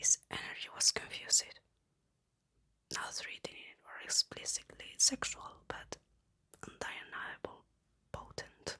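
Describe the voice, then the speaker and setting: A man whispers in a calm tone, with big swings in loudness. He leaves long, frequent pauses. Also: dry, close sound with no echo. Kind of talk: ASMR whisper book reading. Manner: whispered, soft-spoken, calm.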